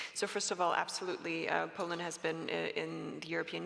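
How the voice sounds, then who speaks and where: Over noticeable background noise, the speaker talks at a moderate pace with a Canadian accent. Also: woman. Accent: Canadian-sounding English. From Canada. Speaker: panelist, policy expert. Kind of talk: panel discussion. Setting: conference stage with audience. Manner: hesitant, many fillers.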